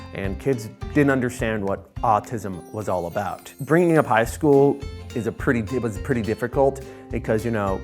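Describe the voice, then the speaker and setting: With music playing in the background, a man speaks at a moderate pace in a medium pitch, his pitch swinging very widely. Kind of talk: interview answer.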